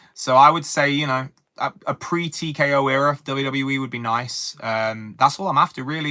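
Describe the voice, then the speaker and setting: Bright and sharp in tone, a man with an English accent speaks at medium pitch and a moderate pace with ordinary pitch variation. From England. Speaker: wrestling commentator streamer. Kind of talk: live stream chat. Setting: live stream. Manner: halting.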